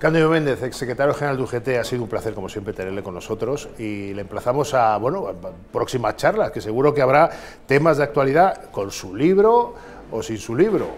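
A man talks at a fairly quick pace with lively intonation and big swings in loudness. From Spain. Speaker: political interviewer. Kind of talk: interview. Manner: formal. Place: office. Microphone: lapel.

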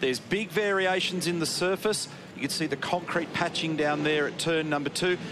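Against noticeable background noise, a man with a fairly high pitch speaks at a fairly quick pace in an animated tone. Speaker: motorsport TV commentator. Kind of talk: race commentary, analytical track-guide and incident replay voiceover. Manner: animated, fluent broadcaster delivery, briskly explaining.

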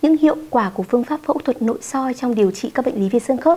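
Here a woman speaks with a high pitch. Her pitch varies in an ordinary way. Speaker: TV health show host. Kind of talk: TV presenting. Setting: studio. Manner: formal. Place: studio. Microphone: lapel.

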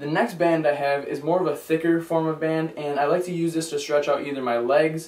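Over audible room echo, a man speaks at a fairly quick pace with fairly even intonation. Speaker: fitness vlogger. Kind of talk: casual vlog product review. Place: home room. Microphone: camera far.

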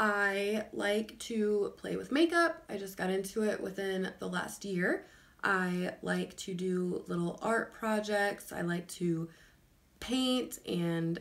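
A woman's voice with an American accent. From Illinois, US Midwest. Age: 20s. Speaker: lifestyle vlogger. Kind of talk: casual vlog monologue. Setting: recording at home. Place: home room. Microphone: phone near.

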